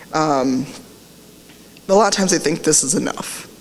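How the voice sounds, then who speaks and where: A woman speaks with a very deep, low pitch. Noticeable background noise and audible room echo surround her voice. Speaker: diversity advocate, conference speaker. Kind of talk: conference talk. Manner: fast.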